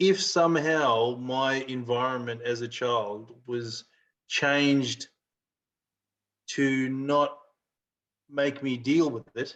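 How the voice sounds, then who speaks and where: The speech is very slow, broken by long, frequent pauses. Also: man, medium pitch for a man. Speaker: podcast co-host. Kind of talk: casual chat. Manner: halting.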